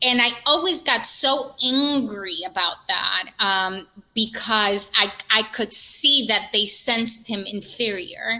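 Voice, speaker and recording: A woman talks at a very slow pace with hardly any pauses and ordinary pitch variation. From Latin America, moved to New York City at 13. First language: Spanish. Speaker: breast cancer survivor, community ambassador. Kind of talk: casual podcast conversation.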